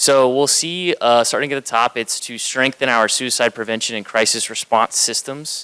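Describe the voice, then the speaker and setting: Loud and at a moderate pace, a man speaks with a bright, sharp tone, medium pitch, and fairly even intonation. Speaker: county communications manager presenting. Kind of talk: conference presentation.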